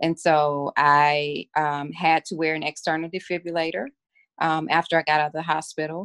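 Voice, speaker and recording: A woman with an American accent, very deep and low in pitch, monotone and flat in intonation, at a moderate pace. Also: dry, close sound with no echo. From Mississippi. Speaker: physician. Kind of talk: interview.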